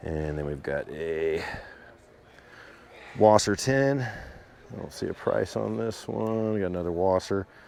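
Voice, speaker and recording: Over noticeable background noise, a man with a very deep, low pitch speaks at a fairly slow pace in an enthusiastic tone, his pitch swinging very widely. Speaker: gun show video blogger. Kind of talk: walkthrough commentary. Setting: indoor gun show hall. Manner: casual, enthusiastic.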